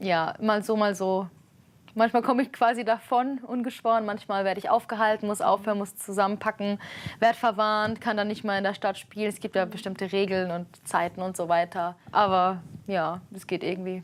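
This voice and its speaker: The speaker has an Armenian accent and a moderate pace. The intonation stays fairly even. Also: woman, medium pitch for a woman. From Germany. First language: Armenian (speaking German). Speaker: street musician. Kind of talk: interview. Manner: casual, hesitant with fillers.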